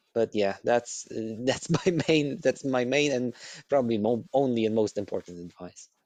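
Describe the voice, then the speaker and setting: At a moderate pace, a man with a Polish accent talks at a medium pitch with ordinary pitch variation, in a dry, close sound with no echo. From Poland. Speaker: podcast guest. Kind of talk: casual chat. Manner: soft-spoken; crisp enunciation.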